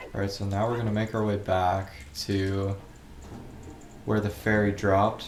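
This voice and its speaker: Over audible room echo, a man with a fairly low pitch speaks in a flat monotone at a moderate pace, leaving long, frequent pauses. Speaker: gaming video creator. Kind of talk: let's play commentary. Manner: casual, filler-heavy.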